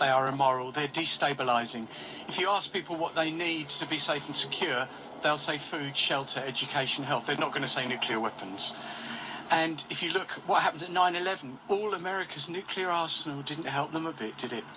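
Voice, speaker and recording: Noticeable noise runs beneath a man who speaks at a fairly quick clip with ordinary pitch movement. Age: 60s. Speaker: peace campaigner. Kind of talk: radio interview.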